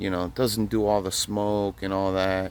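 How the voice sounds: A man with a low voice and a slightly mellow tone. He speaks at a fairly slow pace with little pitch movement.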